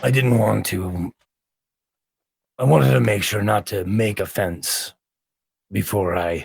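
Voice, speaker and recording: A man puts on a character voice, raspy and very deep in pitch, with lively intonation. He goes at a fairly slow pace with long, frequent pauses. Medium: actual play. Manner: wry, chatty.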